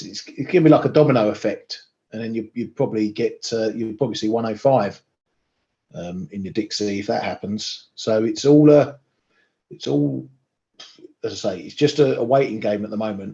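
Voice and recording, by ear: A man speaks at a fairly low pitch with ordinary pitch variation. His raspy voice has a dark, mellow tone and vocal fry. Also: moderate pace.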